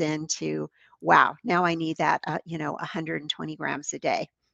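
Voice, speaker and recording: With an unremarkable speaking voice, a woman talks at a moderate pace in a fairly low pitch. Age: 60s. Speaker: fitness and nutrition coach. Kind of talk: casual chat.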